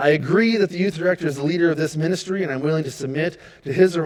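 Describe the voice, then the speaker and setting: A man with an American accent, fairly high in pitch with ordinary variation, talking very fast. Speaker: youth pastor. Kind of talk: volunteer training talk. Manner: loud; high energy.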